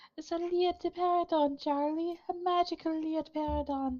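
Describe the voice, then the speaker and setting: A squeaky put-on character voice at an extremely high pitch and a moderate pace. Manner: silly, exaggerated, sing-song.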